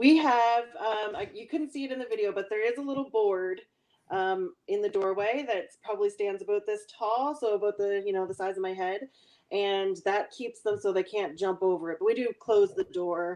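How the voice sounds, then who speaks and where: In a Nova Scotia accent, a woman speaks at a moderate pace against a quiet background. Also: medium pitch for a woman, ordinary pitch variation. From Nova Scotia, Annapolis Valley. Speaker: chicken farmer. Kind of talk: live q&a interview. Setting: live stream from farm.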